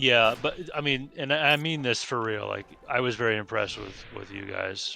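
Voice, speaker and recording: A man with a normal speaking voice, medium pitch and ordinary pitch variation. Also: moderate pace. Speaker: video game streamer. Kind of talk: casual chat.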